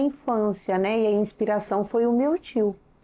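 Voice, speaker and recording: A woman with a rural São Paulo accent, dark and mellow in tone, at a fairly slow pace. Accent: São Paulo countryside (caipira). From interior of São Paulo state, Brazil. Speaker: dentist. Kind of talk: interview.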